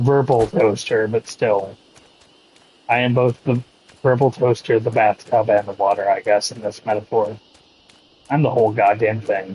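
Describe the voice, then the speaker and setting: Long, frequent pauses break up a man's speech, which keeps very even loudness and fairly even intonation. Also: medium pitch for a man. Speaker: video game streamer. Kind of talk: casual chat. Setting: live stream. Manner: slow.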